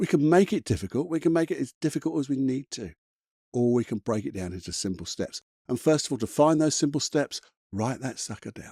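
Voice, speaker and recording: A man with a British accent speaks quickly, at a medium pitch, with lively intonation and a dark, mellow tone. The recording is very clean and dry, with a silent background, a close sound and no echo. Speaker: motivational coach. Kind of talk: motivational talk. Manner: fast; animated.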